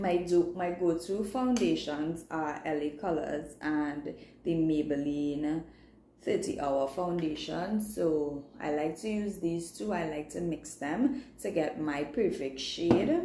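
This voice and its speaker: Speaking very slowly with a Trinidadian accent, a woman uses a fairly low pitch and ordinary pitch variation amid audible room echo. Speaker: beauty vlogger and makeup artist. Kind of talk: live makeup tutorial. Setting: livestream. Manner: casual, chatty.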